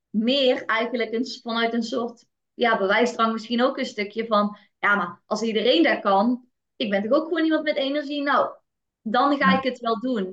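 A woman speaks at a fairly slow pace. Her pitch sits fairly high, with ordinary variation. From Netherlands, North Brabant. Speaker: kindergarten teacher. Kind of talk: interview. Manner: halting.

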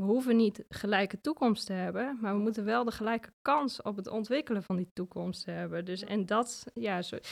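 A woman talks at a moderate pace with a medium pitch. She hardly pauses at all. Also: ordinary pitch variation, dry, close sound with no echo. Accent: Achterhoek. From Achterhoek, Netherlands. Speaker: coffee farmer living in Ethiopia. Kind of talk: casual interview.

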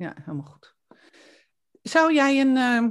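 A woman speaks at a fairly slow pace, and the background is quiet. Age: 60s. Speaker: podcast host and coach. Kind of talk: interview. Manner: hesitant, many fillers.

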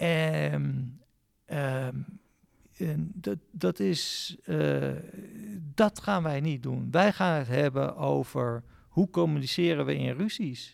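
Pauses come often and run long. The man's delivery is very slow. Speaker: playwright. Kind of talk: interview. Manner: halting.

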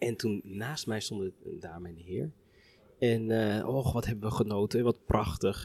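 The sound is dry and close, with no echo. A man speaks in a fairly low voice with a dark, mellow tone. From Netherlands, Harderwijk (Veluwe). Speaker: orchestra musician. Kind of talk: casual chat. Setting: brasserie.

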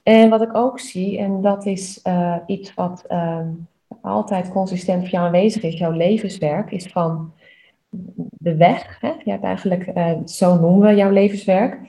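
At a fairly slow pace, a woman speaks with a dark, mellow tone that is somewhat breathy. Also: medium pitch for a woman. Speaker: human design coach. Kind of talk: personal reading and feedback. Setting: studio. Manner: enthusiastic.

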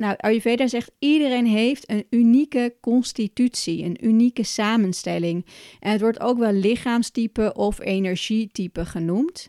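A woman's fairly high voice in a dark, mellow tone, with hardly any pauses, on a very clean recording with a silent background and a dry, close sound with no echo. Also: ordinary pitch variation, fairly slow pace. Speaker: podcast host and Ayurveda coach. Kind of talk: solo educational podcast.

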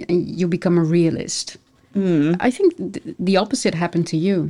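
A woman speaks at a moderate pace. Her fairly low voice has a dark, mellow tone. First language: Dutch. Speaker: podcast host. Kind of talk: interview.

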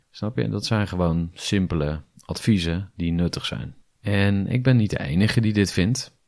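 A man's low-pitched voice with a slightly mellow tone, ordinary pitch variation and a moderate pace.

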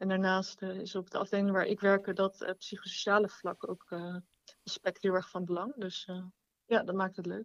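At a moderate pace, a woman talks at a medium pitch with monotone, flat intonation in a dry, close recording with no echo. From Rotterdam, Netherlands. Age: 20s. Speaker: nurse. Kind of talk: casual chat.

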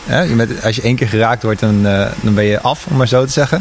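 Over noticeable background noise, a man speaks in a medium pitch with ordinary pitch variation. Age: 20s. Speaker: junior designer, technical support. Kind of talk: interview.

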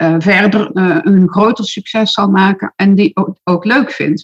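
In a dry, close sound with no echo, a woman speaks at a medium pitch, somewhat breathy and with ordinary pitch variation. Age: 60s. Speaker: social media marketing expert and entrepreneur. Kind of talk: interview. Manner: hesitant, many filler words.

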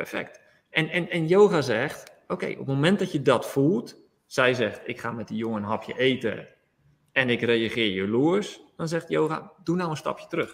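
A plain, everyday voice: a man with a fairly high pitch, lively intonation and a moderate pace. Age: 40s. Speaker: yoga teacher. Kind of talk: interview.

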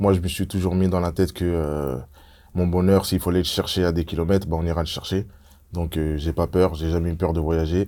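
Very deep and low, a man's voice has a dark, mellow tone and moves at a moderate pace with monotone, flat intonation. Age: 30s. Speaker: former professional footballer. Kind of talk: casual chat.

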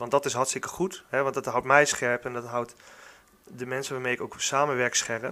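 A man at fairly high pitch and a fairly quick pace. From Netherlands, Gelderland (Warnsveld). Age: 30s. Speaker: football club youth coordinator. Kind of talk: podcast interview. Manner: hesitant, many fillers.

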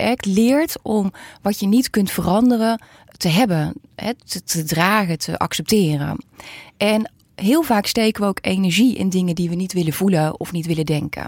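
Using a normal speaking voice, a woman talks at a moderate pace and medium pitch with lively intonation, the sound dry and close with no echo. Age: 40s. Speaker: psychologist. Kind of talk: interview.

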